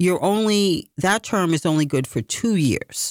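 A woman at medium pitch, in an ordinary speaking voice with lively intonation and a fairly slow pace, in a very clean recording with a silent background and a dry, close sound with no echo. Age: 50s. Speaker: political candidate and radio producer. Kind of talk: radio interview.

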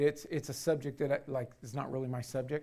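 Words come from a man at a very fast pace. The intonation is fairly even. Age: 60s. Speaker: pastor. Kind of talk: sermon. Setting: church. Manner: halting.

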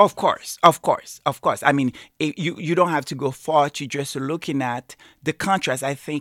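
A moderate pace on a very clean recording with a silent background. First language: not English. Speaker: channel host. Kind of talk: casual commentary on a channel. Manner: emotional.

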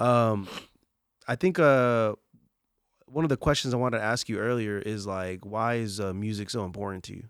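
Using an ordinary speaking voice, a man with an American accent talks at a moderate pace and medium pitch. His pitch variation is ordinary, with big swings in loudness. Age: 20s. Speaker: podcast host. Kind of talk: casual interview chat.

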